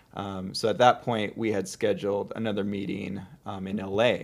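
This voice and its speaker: A man with an American accent and a plain, everyday voice speaks at a fairly low pitch with ordinary pitch variation, on a very clean recording with a silent background. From US Pacific Northwest, Seattle area. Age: 30s. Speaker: content creator. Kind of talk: casual chat.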